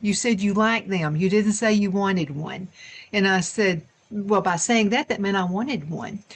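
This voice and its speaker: Her intonation is lively and her voice somewhat breathy as this woman speaks. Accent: Southern US. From US South. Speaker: talk show host. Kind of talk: casual chat.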